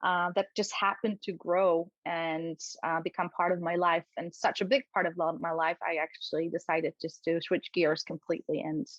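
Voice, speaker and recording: The speech has a Polish accent and fairly even intonation. There are hardly any pauses. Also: woman, fairly low pitch for a woman, moderate pace. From Poland. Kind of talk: interview.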